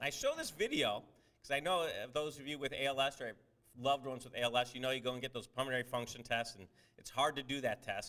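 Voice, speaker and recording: Loud and very fast, a man talks at a medium pitch with ordinary pitch variation and a bright, sharp tone. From Cleveland, Ohio, US. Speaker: surgeon and researcher. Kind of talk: lecture.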